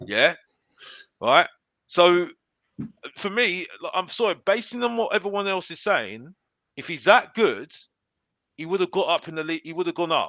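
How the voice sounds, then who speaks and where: A man with a high pitch, ordinary pitch variation and a bright, sharp tone speaks in a raised, projected voice at a moderate pace, with long, frequent pauses and big swings in loudness, in a dry, close sound with no echo over a quiet background. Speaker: football pundit. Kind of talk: heated debate. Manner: animated; halting, repetitive.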